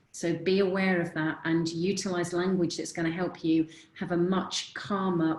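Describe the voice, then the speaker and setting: The delivery is monotone, flat and at a moderate pace. Noticeable background noise runs underneath. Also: woman. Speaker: confidence coach. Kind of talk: webinar presentation.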